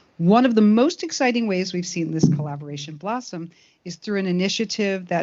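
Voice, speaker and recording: A woman speaks in an unremarkable speaking voice at a fairly low pitch. Her intonation is lively and her pace fairly quick. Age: 60s. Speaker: animation studio executive. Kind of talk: speech at awards ceremony.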